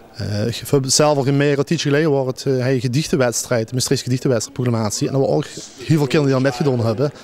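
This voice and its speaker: Over noticeable background noise, a man at medium pitch rushes along at a very fast pace with hardly any pauses and fairly even intonation. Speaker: dictation contest organizer. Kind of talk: interview answer. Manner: hesitant, many filler sounds.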